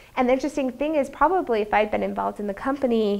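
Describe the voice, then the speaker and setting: A woman with an American accent talks at a very fast pace with ordinary pitch variation. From Utah, US. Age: 30s. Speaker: business professor. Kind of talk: lecture. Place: classroom. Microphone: lapel.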